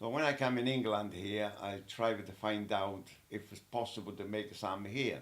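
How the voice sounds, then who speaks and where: A man with an Italian accent speaks at a moderate pace in a fairly low voice, with audible room echo. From Italy. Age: 80s+. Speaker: elderly interviewee. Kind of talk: casual interview. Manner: halting.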